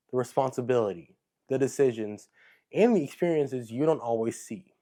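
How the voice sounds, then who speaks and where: Recorded very cleanly with a silent background, a man speaks at a medium pitch and moderate pace with ordinary pitch variation. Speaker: interviewer, series host. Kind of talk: scripted intro narration.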